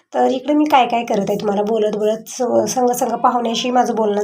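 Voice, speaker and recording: Against noticeable background noise, a woman speaks in a fairly high pitch with fairly even intonation. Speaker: home vlogger. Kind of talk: casual vlog narration.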